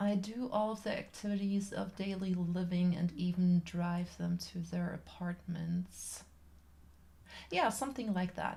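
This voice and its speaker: A woman with a German accent, fairly low-pitched, with fairly even intonation. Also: fairly slow pace. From Germany. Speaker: artist livestreamer and personal care assistant. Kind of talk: casual chat while painting on livestream. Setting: livestream. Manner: halting, with fillers.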